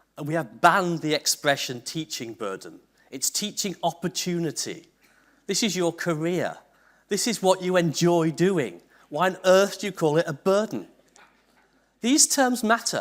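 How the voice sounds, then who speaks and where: A man with a Liverpool accent speaks at a high pitch and a moderate pace, with lively intonation and long, frequent pauses. The recording is very clean, with a silent background. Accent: Liverpool (Scouse). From northern England, Liverpool. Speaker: university vice-chancellor, keynote speaker. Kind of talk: conference keynote.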